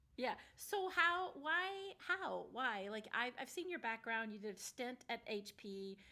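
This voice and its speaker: A woman speaks at a fairly slow pace in a high pitch, her voice swinging very widely up and down. Her tone is animated, bright and sharp. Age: 50s. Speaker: podcast host. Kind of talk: casual interview.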